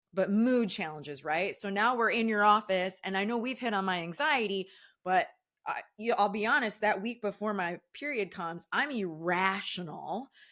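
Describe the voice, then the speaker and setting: A woman speaks loudly at a moderate pace and medium pitch, her bright, sharp tone carrying lively intonation on a very clean recording with a silent background. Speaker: podcast host, mental health therapist. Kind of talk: interview chat.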